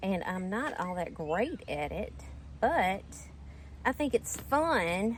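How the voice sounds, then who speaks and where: A woman speaks very slowly in a Southern US accent, pausing long and often. Her medium pitch swings very widely, with vocal fry. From Mississippi, US South. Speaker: gardening YouTuber. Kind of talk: casual vlog tutorial. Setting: outdoors in garden. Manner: chatty, conversational.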